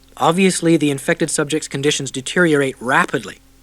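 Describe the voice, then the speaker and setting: A man speaks in a plain, everyday voice. He goes at a fairly quick pace with ordinary pitch variation. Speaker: audiobook narrator. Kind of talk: audiobook narration.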